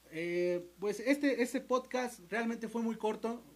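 This is a man's voice. He talks at a fairly slow pace. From Mexico, State of Mexico. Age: 20s. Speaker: musician and podcast host. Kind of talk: solo livestream monologue. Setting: livestream. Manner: halting, frequent repetitions.

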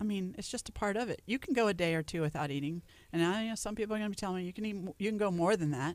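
Speaking at a very fast pace, a woman uses a medium pitch with ordinary variation. She has an American accent. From Louisiana. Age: 40s. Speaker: nutritionist. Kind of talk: radio interview. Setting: radio studio.

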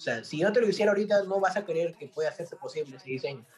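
Noticeable noise sits in the background. Over it, the man speaks very fast. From Peru. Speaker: graphic artist. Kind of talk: interview. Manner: casual.

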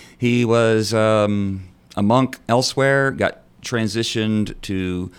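A Texan accent comes through with ordinary pitch variation. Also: man. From North Texas. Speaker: priest. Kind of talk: radio interview. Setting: studio.

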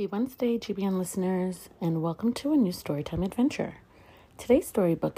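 The reading is delivered in an unforced voice.

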